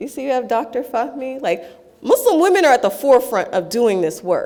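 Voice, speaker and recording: A woman with an American accent talks at a fairly quick pace in a high pitch, her voice making very wide pitch swings and big swings in loudness over noticeable background noise. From California, San Jose (Bay Area). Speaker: speaker at a convention panel. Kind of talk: conference talk.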